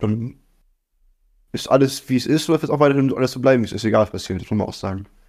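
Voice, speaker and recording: On a very clean recording with a silent background, a man speaks with a dark, mellow tone at a medium pitch and ordinary pitch variation. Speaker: podcast co-host. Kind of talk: casual chat.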